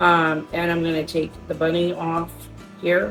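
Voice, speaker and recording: Music playing behind a woman's fairly slow delivery. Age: 50s. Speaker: shopping haul vlogger. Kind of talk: casual haul video talk. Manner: casual, many fillers.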